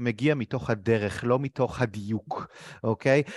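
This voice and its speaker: An unremarkable speaking voice moves at a moderate pace over a quiet background, the sound dry and close with no echo. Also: man. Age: 30s. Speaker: interviewer, career coach. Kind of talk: interview.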